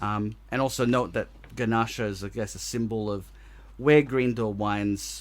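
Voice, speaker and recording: A man at a fairly low pitch with a strong Australian accent, a moderate pace and fairly even intonation. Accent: very Australian. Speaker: podcast co-host. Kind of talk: casual chat.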